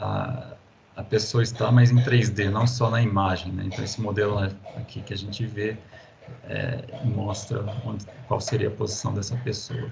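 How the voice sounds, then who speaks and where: There is noticeable background noise and audible room echo. A man speaks with fairly even intonation. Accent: São Paulo countryside. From interior of São Paulo state, Brazil. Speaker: university professor. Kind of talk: lecture. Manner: halting, many fillers.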